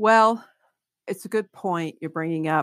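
A woman with an American accent uses ordinary pitch variation. The very clean recording has a dry, close sound with no echo and a silent background. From Kentucky, small town on the Ohio River. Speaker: economist. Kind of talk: interview.

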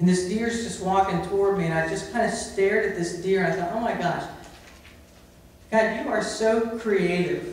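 Strong room echo surrounds a man speaking at a moderate pace, his high pitch showing ordinary variation. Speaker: preacher. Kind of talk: sermon. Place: church. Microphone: camera far.

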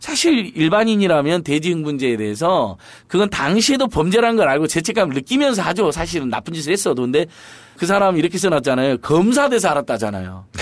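A man speaks in a high pitch at a fairly quick pace. His pitch swings very widely. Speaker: civic activist, head of a citizens' group. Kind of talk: casual studio interview. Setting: studio. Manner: laughs easily, self-deprecating.

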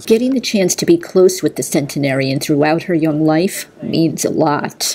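Over noticeable background noise, a woman talks in a very deep, low voice with lively intonation. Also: moderate pace. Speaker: TV news reporter. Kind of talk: TV news report narration.

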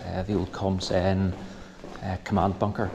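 Over faint background noise, a man with a low, slightly mellow voice speaks at a fairly slow pace with little pitch movement.

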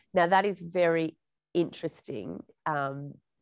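With an Australian accent, a woman speaks at a very deep, low pitch. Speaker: journalist moderating a panel. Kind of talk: moderated panel discussion. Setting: video call.

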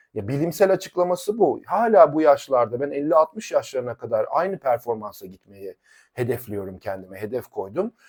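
An animated man's fairly high voice with vocal fry, very wide pitch swings and big swings in loudness, at a moderate pace with hardly any pauses, in a dry, close sound with no echo. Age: 40s. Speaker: fitness coach. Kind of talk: YouTube monologue.

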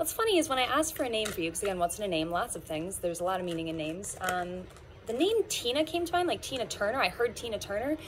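A woman speaking very fast with very wide swings in pitch over light background noise. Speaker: card reader. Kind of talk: casual tarot reading chat. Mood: warm, smiling, playful. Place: garden.

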